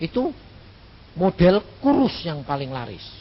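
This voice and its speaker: A man's high voice with very wide pitch swings. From Central Java, Indonesia. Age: 60s. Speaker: evangelist preacher. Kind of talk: sermon. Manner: casual, humorous.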